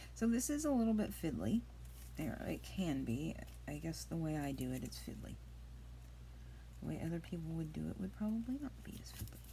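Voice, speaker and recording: A soft-spoken woman talks at a fairly quick pace with long, frequent pauses. Her voice carries audible room echo. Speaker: craft youtuber. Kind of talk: crafting tutorial. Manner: casual chatty. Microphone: iPad mic, quiet.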